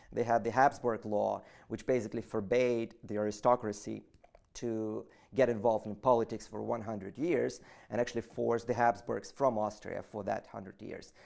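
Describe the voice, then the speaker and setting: Recorded very cleanly with a silent background, a man with a Russian accent speaks at a moderate pace in a medium pitch, his intonation fairly even but his loudness swinging widely. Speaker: political activist. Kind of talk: interview. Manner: halting.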